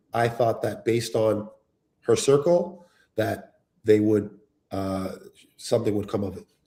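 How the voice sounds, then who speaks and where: A man's somewhat breathy voice at a medium pitch, with ordinary pitch variation and a fairly slow pace. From Canada, Ontario (Toronto area). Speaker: reality show cast member, real estate developer. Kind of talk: live stream interview.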